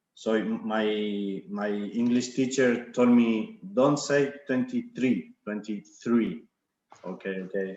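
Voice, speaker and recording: A man with an Argentine accent speaks very slowly at a medium pitch, with ordinary pitch variation. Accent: Argentinian accent in English. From Argentina. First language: Spanish. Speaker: winemaker. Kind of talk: wine tasting presentation. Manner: halting, many fillers and repetitions.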